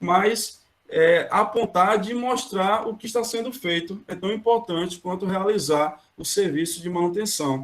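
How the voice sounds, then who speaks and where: Speaking at a fairly slow pace with hardly any pauses, a man uses a high pitch and ordinary pitch variation. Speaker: maintenance planning engineer, guest speaker. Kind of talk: online lecture.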